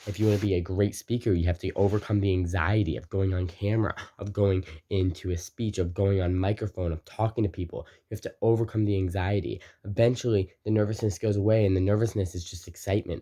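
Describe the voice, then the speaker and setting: A man talks at a very fast pace in a dark, mellow, somewhat breathy tone. The background is quiet. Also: fairly low pitch for a man. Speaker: motivational video creator. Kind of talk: motivational talk to camera. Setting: recording to camera. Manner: energetic.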